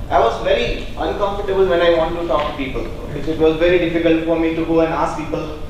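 Strong room echo and light background noise surround a man talking at a fairly quick pace in a high pitch. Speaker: speaker. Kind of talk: talk to an audience. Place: hall. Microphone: handheld.

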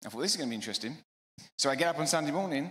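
Speaking at a very fast pace, a man talks in an English accent. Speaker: preacher. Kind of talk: sermon.

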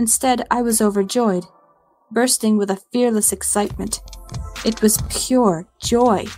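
Music plays behind a woman speaking at a fairly slow pace and a fairly high pitch. Her loudness stays very even and her intonation fairly even. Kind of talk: scary story narration.

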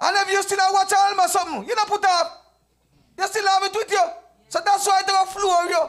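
A man speaks at a fairly quick pace with extremely high pitch and monotone, flat intonation. His loudness stays very even over a quiet background. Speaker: church deacon; evangelist teaching a lesson. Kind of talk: church Bible study discussion; sermon. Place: church. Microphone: handheld.

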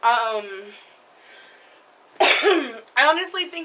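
Lively intonation marks this woman's speech. Noticeable background noise runs underneath. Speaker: vlogger. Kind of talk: casual chat. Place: home room. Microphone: webcam.

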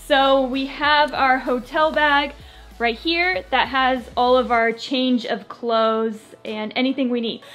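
Over faint music in the background, a woman speaks at a high pitch with fairly even intonation. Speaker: family vlogger mother. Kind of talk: casual vlog chat. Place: home room. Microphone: phone near.

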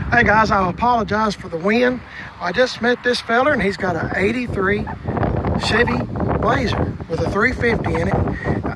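Loud background noise fills the clip as a man speaks fairly slowly with ordinary pitch variation. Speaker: vlogger at yard sale. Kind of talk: casual vlog chat. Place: open country. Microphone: phone near.

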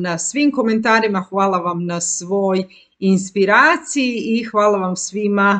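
A woman speaks very slowly with ordinary pitch variation against a quiet background. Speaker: life coach. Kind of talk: casual educational talk to viewers. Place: home room. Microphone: webcam.

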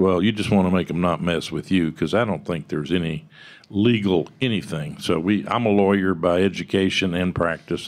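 With a Texan accent, a man speaks at a moderate pace. His pitch is very deep and low, and his intonation stays fairly even. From Texas. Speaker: tech company founder; conference panelist. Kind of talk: panel discussion. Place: meeting room. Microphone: podium.

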